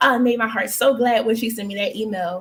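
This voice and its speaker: Speaking with an American accent, a woman uses an animated tone. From Philadelphia, US. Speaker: talk show host. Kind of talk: live talk show. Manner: fast.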